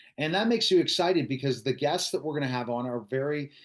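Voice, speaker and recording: Against a quiet background, this is a plain, everyday voice. The intonation is lively. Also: man. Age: 40s. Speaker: podcast interviewer. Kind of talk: casual chat.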